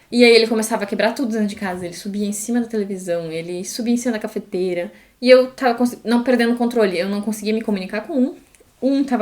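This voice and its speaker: Very fast and animated, a woman speaks at a fairly high pitch with ordinary pitch variation. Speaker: podcast co-host, former au pair. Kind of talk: casual chat.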